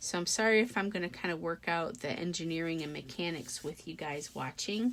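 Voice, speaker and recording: Mumbling with vocal fry at a fairly slow pace, the speaker has lively intonation on a very clean recording with a silent background. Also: woman. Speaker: craft tutorial creator. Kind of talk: tutorial. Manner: casual, thinking aloud with fillers.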